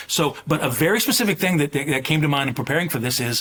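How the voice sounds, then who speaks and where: Noticeable background noise runs under this recording. A man talks at a very fast pace in a fairly high pitch. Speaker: president of a college admissions association. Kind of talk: podcast interview.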